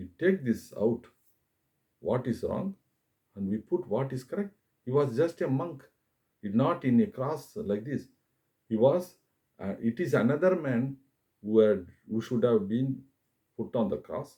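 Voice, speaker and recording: A man with a Tamil accent, somewhat breathy with a dark, mellow tone, medium-pitched yet with very wide pitch swings, at a fairly slow pace with long, frequent pauses. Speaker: YouTuber, religious commentator. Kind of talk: monologue talk to camera. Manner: halting, many fillers.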